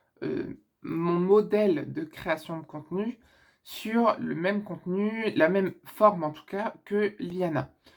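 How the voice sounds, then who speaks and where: On a very clean recording with a silent background, a woman talks very slowly with ordinary pitch variation and big swings in loudness. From northern France. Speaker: YouTuber. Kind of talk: casual Q&A vlog. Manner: casual with many hesitations.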